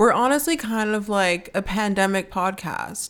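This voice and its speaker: At a fairly slow pace, a woman talks in a normal speaking voice at a medium pitch. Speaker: podcast host. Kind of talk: casual chat.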